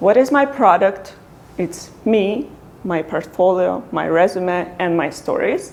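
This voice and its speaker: Lively in intonation, a woman with a medium pitch speaks at a very slow pace. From Ukraine. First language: Ukrainian. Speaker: product designer. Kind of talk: talk to meetup audience.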